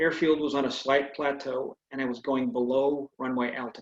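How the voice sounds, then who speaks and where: An ordinary speaking voice comes through with a dry, close sound and no echo, at a moderate pace and with fairly even intonation. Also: man. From California, US. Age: 60s. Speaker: retired air force pilot and author. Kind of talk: speech; reading aloud.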